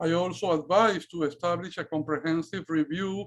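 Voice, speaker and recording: Someone speaks at a moderate pace with a strong Spanish accent. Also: man. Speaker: Spanish teacher and researcher. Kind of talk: academic presentation. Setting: video call. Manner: halting.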